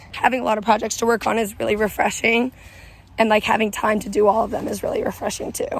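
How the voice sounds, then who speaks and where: Through noticeable background noise, a woman with an American accent speaks fairly quickly at a fairly high pitch. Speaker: vlogger. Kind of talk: casual vlog chat. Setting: outdoors on a walking trail.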